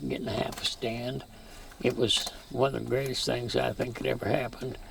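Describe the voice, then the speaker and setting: A man with an American accent keeps a moderate pace while noticeable background noise carries on. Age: 80s+. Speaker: farmer. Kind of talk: interview. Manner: halting.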